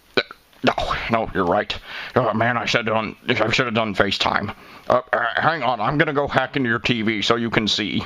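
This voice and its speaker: A man puts on a character voice at a medium pitch and moves at a fairly quick pace. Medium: comedy sketch. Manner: hesitant, stumbling, full of uh and um.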